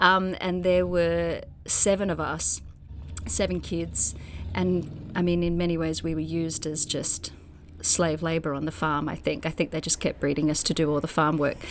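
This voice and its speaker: The speaker talks in an Australian accent. The pace is moderate. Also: woman. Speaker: actor and playwright. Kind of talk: interview conversation. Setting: remote interview during pandemic. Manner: animated.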